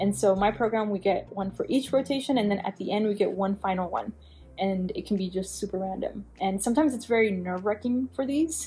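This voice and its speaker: A woman speaks at a fairly quick pace in a medium pitch with ordinary pitch variation. Her voice is somewhat breathy, with a dark, mellow tone. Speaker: physician assistant student. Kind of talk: vlog talk to camera. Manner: fast.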